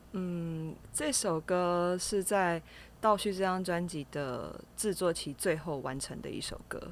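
A woman with a Taiwanese accent at a very slow pace, fairly low in pitch with ordinary pitch variation. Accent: Taiwanese Mandarin. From Taiwan, Kaohsiung. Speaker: jazz singer-songwriter. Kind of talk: interview. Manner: soft, gentle.

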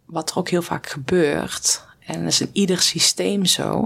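A woman speaks at a fairly low pitch. Her voice carries vocal fry. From Netherlands, rural farm. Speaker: former pro cyclist, performance coach. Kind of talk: interview conversation.

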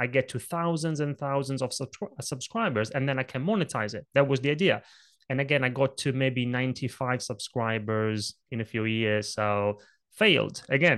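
A man speaks with an Italian accent and ordinary pitch variation. The background is quiet. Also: medium pitch for a man, moderate pace. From Italy. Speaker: presentation coach. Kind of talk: interview conversation.

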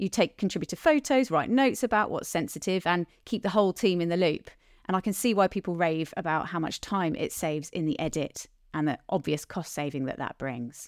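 The speech moves at a fairly quick pace in a normal speaking voice. The recording is very clean, with a silent background. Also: woman, fairly low pitch for a woman. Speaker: podcast host and talent company founder. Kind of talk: casual interview chat.

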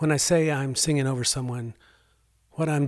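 The recording is very clean, with a silent background. A man with medium pitch speaks in a monotone, flat intonation. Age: 60s. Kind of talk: devotional storytelling monologue. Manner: earnest, warm.

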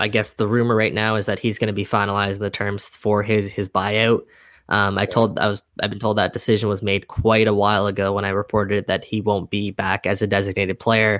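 The man talks at a fairly quick pace with hardly any pauses. His fairly low voice is monotone and flat. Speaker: podcast host. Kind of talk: casual chat. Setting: video call.

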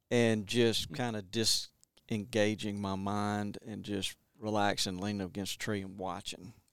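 In a monotone, flat intonation, a man with an Alabama accent speaks at a fairly slow pace. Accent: Southern US (Alabama). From Montgomery, Alabama. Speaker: conservation brand manager and author. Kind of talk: casual interview chat. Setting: office.

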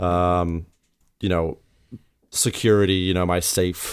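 On a very clean recording with a silent background, a man speaks very slowly in a very deep, low voice. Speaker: therapist and podcast host. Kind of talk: casual interview.

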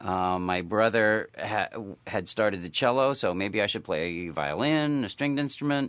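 A man with an American accent has a plain, everyday voice, fairly low in pitch, with lively intonation. He speaks at a moderate pace with hardly any pauses on a very clean recording with a silent background. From US Northeast, western Massachusetts. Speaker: music professor and horn player. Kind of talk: interview.

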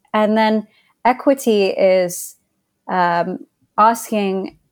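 A woman's voice with ordinary pitch variation in a very clean recording with a silent background. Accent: American. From England. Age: 30s. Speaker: consultant partner. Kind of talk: casual interview chat.

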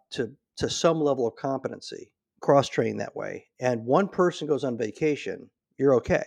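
Against a quiet background, a man with an American accent talks fast-ish in a plain, everyday voice, at a fairly high pitch with ordinary pitch variation. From Nebraska. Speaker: retired navy SEAL and business author. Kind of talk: interview.

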